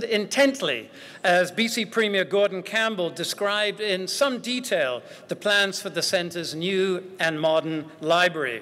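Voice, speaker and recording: A man with a high pitch. His intonation is lively. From Great Britain. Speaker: university chancellor. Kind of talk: ceremonial welcome speech. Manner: formal.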